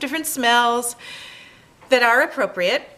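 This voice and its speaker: Noticeable background noise runs under the recording. A woman speaks at a fairly high pitch. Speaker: sensory education presenter. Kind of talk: tutorial.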